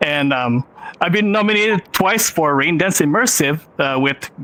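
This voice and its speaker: Someone with a Filipino accent talks at a moderate pace with lively intonation. Noticeable background noise is present. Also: man. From Philippines. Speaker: film director and VR filmmaker. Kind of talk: panel presentation.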